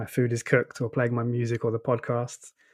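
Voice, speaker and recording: A man in an Essex accent at a very fast pace. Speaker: tech reviews editor. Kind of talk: casual chat.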